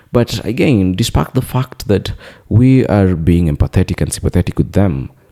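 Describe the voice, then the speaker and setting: A man with a very deep, low pitch and a dark, mellow tone speaks at a moderate pace with lively intonation and very even loudness. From Kenya. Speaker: political commentator. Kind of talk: opinion commentary. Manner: hesitant, many fillers.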